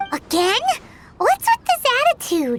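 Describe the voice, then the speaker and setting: A squeaky, put-on character voice at an extremely high pitch. It goes at a fairly slow pace. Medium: video game. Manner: refers to itself in third person.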